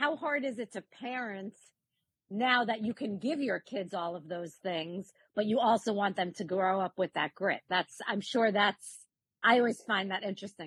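Speaking at a moderate pace, a woman with a plain, everyday voice uses lively intonation at a medium pitch, in a dry, close sound with no echo. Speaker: co-interviewer, real estate professional. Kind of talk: casual interview conversation.

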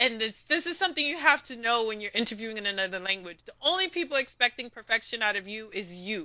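A New York accent at a very fast pace, hardly any pauses, very wide pitch swings and big swings in loudness. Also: woman, fairly high pitch for a woman. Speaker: language community founder. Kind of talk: interview.

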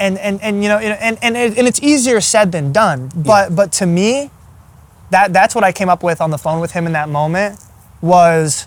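Talking at a moderate pace, a man with an American accent has a high-pitched voice and ordinary pitch variation. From Iowa and Arkansas, US Midwest/South. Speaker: ultrarunner and strength coach. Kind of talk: casual interview. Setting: in person.

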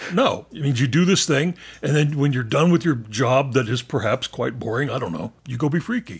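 Somewhat breathy and fairly high-pitched, a man speaks at a fairly quick pace with lively intonation. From Texas and southeastern New Mexico. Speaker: podcast host. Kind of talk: casual chat.

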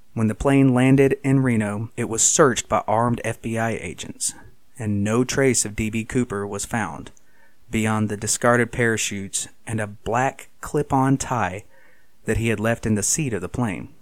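This is a plain, everyday voice with fairly even intonation. The pace is fairly slow. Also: man, medium pitch for a man. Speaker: podcast host. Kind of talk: true-crime narration, scripted. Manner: measured, storytelling tone; formal, clear.

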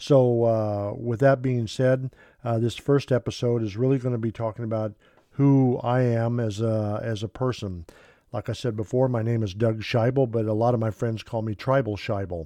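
A man's medium-pitched voice with a dark, mellow tone and fairly even intonation, at a moderate pace over a quiet background. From Kansas, US. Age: 60s. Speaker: Bible teacher and former missionary. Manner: hesitant with many filler words, slightly nervous.

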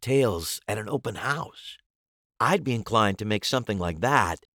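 Lively intonation marks an unforced reading voice against a quiet background.

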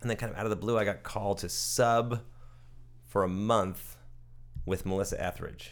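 A man with an American accent and vocal fry, at a moderate pace with long, frequent pauses. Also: fairly low pitch for a man, ordinary pitch variation, very clean recording, silent background. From New Jersey, US. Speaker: guitarist. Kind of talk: interview. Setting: at his home.

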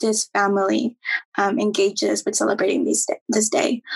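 This is a normal speaking voice at a fairly slow pace. The sound is dry and close, with no echo. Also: woman. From Mexico-born, raised in US. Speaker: podcast co-host. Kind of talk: interview.

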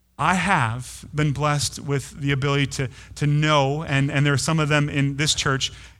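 There is audible room echo as a man talks at a moderate pace and a fairly high pitch. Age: 30s. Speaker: pastor. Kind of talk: sermon. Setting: church. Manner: halting, frequent repeated words.

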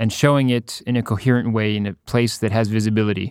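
In a Canadian accent, a man talks at a very fast pace with medium pitch and fairly even intonation, the sound dry and close with no echo on a very clean recording with a silent background. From Ottawa, Canada. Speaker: painter. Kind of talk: casual interview.

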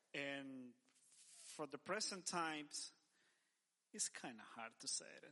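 Bright and sharp in tone, a man with a Spanish accent talks at a fairly slow pace with ordinary pitch variation. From El Salvador. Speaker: church men's director. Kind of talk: casual interview.

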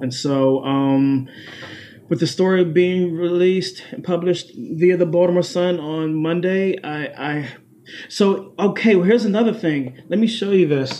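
A man with an American accent speaks in a normal speaking voice. His pace is fairly slow, with ordinary pitch variation. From Washington D.C. area, Prince George's County, Maryland. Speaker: beatboxer and vocal artist. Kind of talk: casual interview.

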